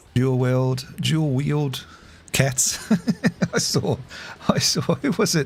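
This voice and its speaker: A man speaks at a very slow pace with long, frequent pauses. His voice is somewhat breathy. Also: medium pitch for a man, ordinary pitch variation. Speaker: gaming streamer. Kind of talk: casual chat. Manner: halting.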